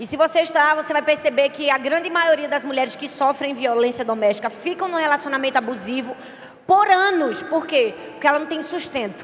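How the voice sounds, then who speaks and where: A woman with a strong northeastern Brazilian accent speaks fairly quickly in a high, animated voice with ordinary pitch variation. There is noticeable background noise. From Brazilian Northeast. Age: 30s. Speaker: pastor. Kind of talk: sermon; casual talk to audience. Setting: stage with audience.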